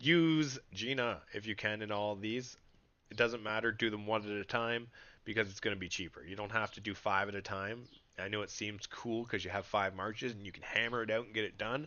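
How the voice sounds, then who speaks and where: With an animated tone and a fairly low pitch, a man talks at a fairly quick pace with big swings in loudness. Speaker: gaming livestreamer. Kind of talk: casual livestream chat while gaming.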